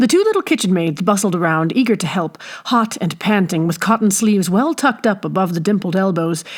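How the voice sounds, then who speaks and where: This woman has a plain, everyday voice at a medium pitch with ordinary pitch variation. She talks at a fairly quick pace with hardly any pauses. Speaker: audiobook narrator. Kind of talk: audiobook reading.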